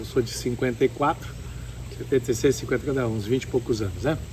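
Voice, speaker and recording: His pitch is medium, moving with ordinary variation. Noticeable background noise accompanies the man. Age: 70s. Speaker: ecotourism lodge owner and horse breeder. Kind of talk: interview. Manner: calm.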